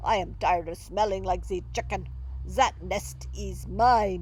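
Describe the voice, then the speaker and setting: A woman's put-on character voice at a fairly slow pace, with clear background noise. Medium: read story.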